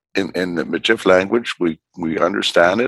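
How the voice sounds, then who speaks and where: A man with a northern Canadian accent at a moderate pace. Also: dry, close sound with no echo. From Northwest Territories, Canada (Fort Providence). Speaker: politician. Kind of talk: interview. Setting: remote call from home. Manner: halting, frequent fillers and repetitions.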